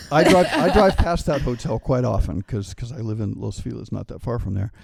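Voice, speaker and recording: With vocal fry and a medium pitch, this man talks at a fairly quick pace, his pitch swinging very widely and his loudness rising and falling in big swings. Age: 60s. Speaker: travel writer. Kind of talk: casual chat. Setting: hotel.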